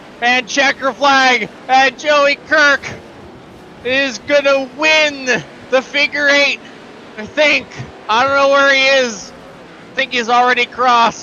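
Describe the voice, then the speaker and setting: At a very slow pace with long, frequent pauses, a man speaks in an extremely high pitch and a monotone, flat intonation over noticeable background noise. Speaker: sim racing commentator. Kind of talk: live commentary.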